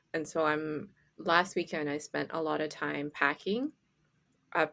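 A woman speaks in a very deep, low voice with a Canadian accent and a calm tone. Her pitch varies in an ordinary way, and vocal fry runs through it. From Canada. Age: 20s. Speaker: podcast co-host and community arts organizer. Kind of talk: casual chat. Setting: remote call across time zones. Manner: calm-sounding.

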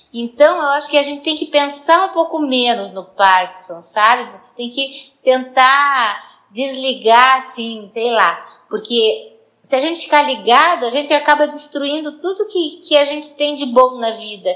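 With a raised, projected voice, a woman speaks at a high pitch with lively intonation and big swings in loudness. Her pace is fairly slow, with hardly any pauses. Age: 60s. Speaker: person with Parkinson's. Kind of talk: personal testimony.

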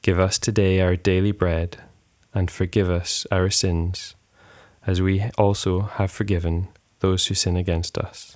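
In a very clean recording with a silent background, a man with a very deep, low voice speaks calmly and monotonously at a fairly slow pace. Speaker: prayer podcast leader. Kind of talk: devotional prayer and scripture reading, led aloud. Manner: calm, reverent, slow and measured.

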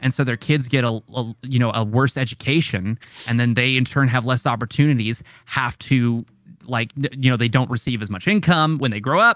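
Recorded very cleanly against a silent background, dry and close with no echo, a man with an American accent and an ordinary speaking voice talks at a fairly quick pace with ordinary pitch variation. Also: medium pitch for a man. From Oklahoma. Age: 20s. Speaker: streamer and content creator. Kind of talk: casual chat. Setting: Discord call.

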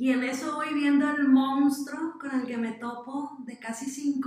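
At a very slow pace, a woman speaks in a high pitch with monotone, flat intonation. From Mexico, Sinaloa. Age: 20s. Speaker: social entrepreneur. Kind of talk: interview.

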